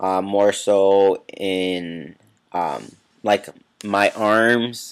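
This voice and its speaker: The speaker goes at a very slow pace with fairly even intonation, in a very clean recording with a silent background. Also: man, fairly low pitch for a man. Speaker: video blogger. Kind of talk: casual vlog. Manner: halting with many fillers.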